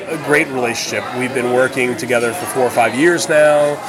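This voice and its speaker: Through noticeable background noise and audible room echo, a man speaks at a medium pitch. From New Orleans. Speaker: chef and restaurant owner. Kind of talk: interview. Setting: at his bakery.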